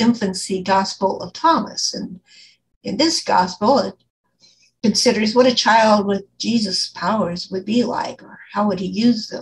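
A woman's somewhat breathy voice at a fairly slow pace, with ordinary pitch variation and light background noise. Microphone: video call.

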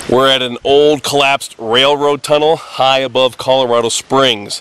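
Over music in the background, a man talks at a fairly slow pace with fairly even intonation and a dry sound that has no echo. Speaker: tour guide, outdoor vlogger. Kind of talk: casual vlog chat. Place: open country. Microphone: phone near.

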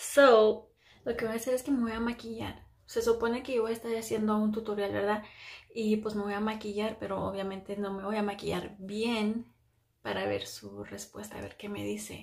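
A fairly high-pitched woman in a monotone, flat intonation at a moderate pace against a quiet background. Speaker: beauty vlogger. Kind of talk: makeup tutorial vlog. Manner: speaking quietly; casual, filler-heavy. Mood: playful, chatty. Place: bathroom. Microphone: phone near.

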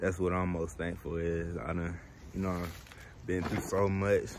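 Speaking at a moderate pace with fairly even intonation, this man has a very deep, low pitch, and the dry sound has no echo over light background noise. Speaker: vlogger. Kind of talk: casual vlog chat. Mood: warm, thankful holiday greeting. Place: street. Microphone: phone near.

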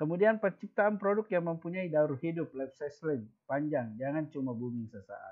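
Over a quiet background, a man talks at a moderate pace with lively intonation and hardly any pauses. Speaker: school teacher. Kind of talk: online class lesson. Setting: video call. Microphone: webcam.

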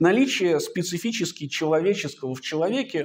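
This man has a fairly high pitch. The recording is very clean, with a silent background. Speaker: philosophy researcher. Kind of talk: academic seminar talk. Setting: seminar. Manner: unhurried, measured; formal.

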